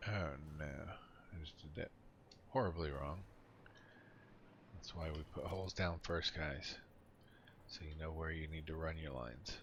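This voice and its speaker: At a fairly slow pace, a man with a very deep, low pitch and vocal fry speaks with long, frequent pauses and audible room echo. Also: ordinary pitch variation. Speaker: gaming streamer. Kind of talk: casual gameplay commentary. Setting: voice chat on Discord. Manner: mumbling.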